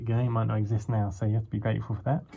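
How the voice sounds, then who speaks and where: A man speaks in a somewhat breathy, dark and mellow voice at a fairly low pitch, with light background noise. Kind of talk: casual walkthrough commentary. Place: garage. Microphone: phone near.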